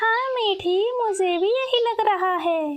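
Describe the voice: A squeaky, cartoonish character voice at a fairly slow pace. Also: woman, extremely high pitch for a woman.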